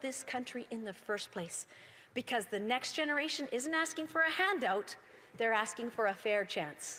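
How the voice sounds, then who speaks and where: In a Canadian accent, a woman talks in a raised, projected voice. Her intonation is lively and her pace moderate. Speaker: member of parliament. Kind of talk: parliamentary speech. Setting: legislative chamber. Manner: formal.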